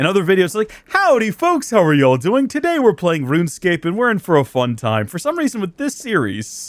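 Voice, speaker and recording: Talking at a fairly quick clip with hardly any pauses, a man with a high voice swings his pitch very widely over noticeable background noise. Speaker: gaming streamer. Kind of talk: let's play commentary. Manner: whiny.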